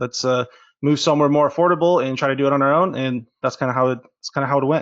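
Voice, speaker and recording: Speaking in an American accent, a man talks at a very fast pace. His pitch is medium. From California, San Diego. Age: 20s. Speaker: marketing agency owner. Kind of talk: interview. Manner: casual, hesitant with fillers.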